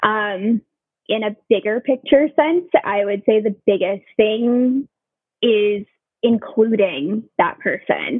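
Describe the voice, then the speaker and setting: An unremarkable speaking voice from a woman with an American accent, fairly high in pitch, fairly slow, with ordinary pitch variation. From Southern California. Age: 30s. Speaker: nurse. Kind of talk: casual interview.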